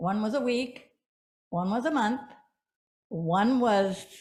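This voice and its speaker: Audible room echo around a woman's somewhat breathy voice. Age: 80s+. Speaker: congregation member. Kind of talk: testimony.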